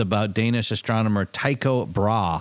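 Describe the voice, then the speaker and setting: With an American accent, a man speaks at a moderate pace and a medium pitch, showing ordinary pitch variation. Noticeable background noise is present. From Michigan, small town. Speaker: podcast co-host. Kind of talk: casual chat.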